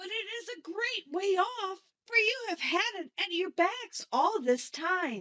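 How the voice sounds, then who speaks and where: A woman does a squeaky put-on character voice at an extremely high pitch. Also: fairly slow pace, hardly any pauses. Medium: read story.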